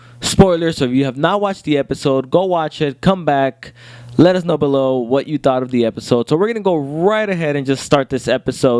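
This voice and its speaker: The recording is dry and close with no echo as a man speaks at a fairly high pitch with ordinary pitch variation. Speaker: TV review show host. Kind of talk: casual chat. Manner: fast; halting.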